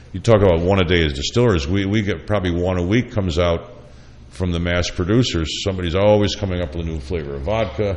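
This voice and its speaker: Noticeable background noise and audible room echo surround a man whose very deep, low voice moves at a fairly quick pace with ordinary pitch variation. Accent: American. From upstate New York. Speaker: chef and radio host. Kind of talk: casual chat.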